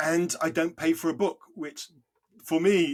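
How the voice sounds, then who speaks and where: A man speaks in a British accent. His pitch is fairly high. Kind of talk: podcast interview.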